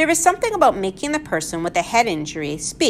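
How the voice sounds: The voice heard here reads in a natural way.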